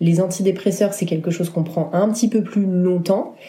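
Somewhat breathy and dark, mellow in tone, a woman's fairly low voice moves at a moderate pace with ordinary pitch variation. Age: 30s. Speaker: wedding photographer. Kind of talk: casual chat.

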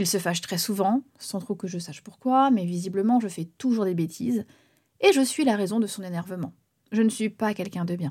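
On a very clean recording with a silent background, a woman with a dark, mellow tone and a medium pitch sounds somewhat breathy, speaking at a moderate pace with ordinary pitch variation. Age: 30s. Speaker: singer and podcaster. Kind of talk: personal testimony narration.

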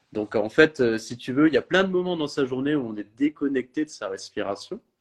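A man's voice, dry and close with no echo. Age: 30s. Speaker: holistic health coach. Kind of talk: interview. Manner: slow.

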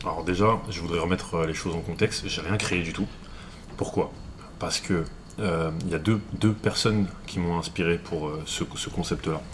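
A man's very deep, low voice at a moderate pace with fairly even intonation, over noticeable background noise. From Paris, France. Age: 20s. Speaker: digital entrepreneur. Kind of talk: interview conversation.

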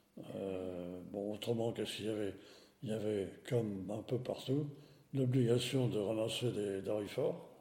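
In a room with audible echo, a man talks at a fairly slow pace, his fairly low voice dark and mellow with ordinary pitch variation. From France, Nevers. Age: 80s+. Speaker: retired engineer. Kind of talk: testimony. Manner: halting.

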